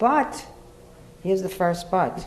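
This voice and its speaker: A woman talks while noticeable background noise is present. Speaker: lawyer. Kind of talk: panel speech to college audience.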